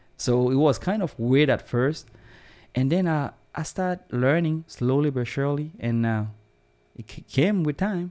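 Speaking fairly slowly with a West African French accent, a man uses a fairly high pitch, ordinary pitch variation and a dark, mellow tone against a quiet background. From Burkina Faso. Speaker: immigrant and manager. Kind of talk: casual interview. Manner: optimistic, upbeat.

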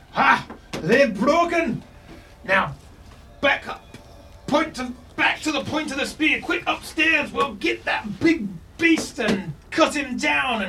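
A gruff, put-on character voice from a man at an extremely high pitch, at a fairly slow pace with long, frequent pauses, over clear background noise. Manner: commanding, battle shouting.

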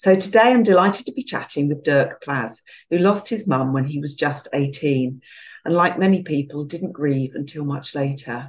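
Her pitch is very deep and low for a woman, and she has a British accent. The woman speaks at a moderate pace with lively intonation. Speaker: podcast host. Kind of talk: interview, warm conversational chat. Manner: warm, gentle.

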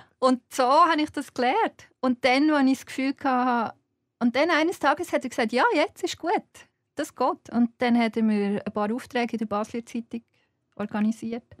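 A woman with a Swiss accent speaks at a moderate pace in a high voice with ordinary pitch variation, the sound dry and close with no echo. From Switzerland, Fricktal (Aargau). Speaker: journalist and writer. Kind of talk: casual interview. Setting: studio.

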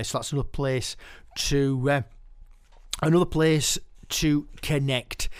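A man in a Yorkshire accent speaks with fairly even intonation. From West Yorkshire, Keighley. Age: 50s. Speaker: podcast host and poet. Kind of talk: casual podcast presenting.

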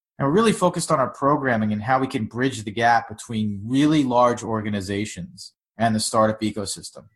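Man with an American accent, an unremarkable speaking voice at medium pitch, a fairly quick pace with hardly any pauses and ordinary pitch variation. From Long Island, New York. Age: 30s. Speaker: startup founder. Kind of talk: interview.

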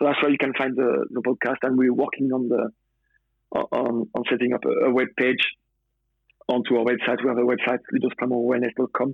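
A man with a French accent speaks at medium pitch and a fairly quick pace. His intonation is flat and monotone, his loudness very even. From France. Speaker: former footballer, personal trainer. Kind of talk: interview. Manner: halting.

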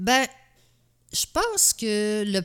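Recorded very cleanly against a silent background, a woman speaks at a medium pitch with lively intonation. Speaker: host's mother, military spouse. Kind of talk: casual chat.

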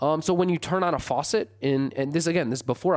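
In an American accent, a man speaks at a very fast pace. His pitch is fairly high. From US Midwest, Michigan. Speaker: historian. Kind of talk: interview. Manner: frequent fillers and repetitions.

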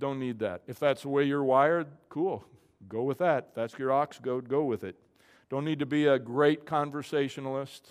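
An unremarkable speaking voice talks at a moderate pace with fairly even intonation. The background is quiet. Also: man, fairly high pitch for a man. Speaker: pastor. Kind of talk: sermon. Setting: church.

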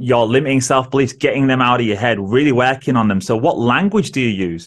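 This man speaks with a northern English accent. His pitch is medium. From northern England, Manchester area. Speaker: social worker and podcaster. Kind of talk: casual interview chat.

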